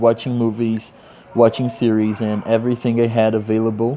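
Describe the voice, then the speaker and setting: A man speaks in a Portuguese accent at a medium pitch. Background noise is noticeable. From Brazil, Rio de Janeiro. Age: 30s. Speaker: English teacher. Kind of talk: personal introduction monologue.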